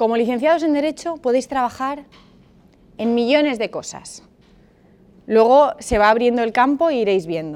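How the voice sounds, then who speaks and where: In a very clean recording with a silent background, a woman uses a plain, everyday voice, fairly high in pitch with ordinary pitch variation. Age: 30s. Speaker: lawyer and master's program coordinator. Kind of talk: seminar talk to university students.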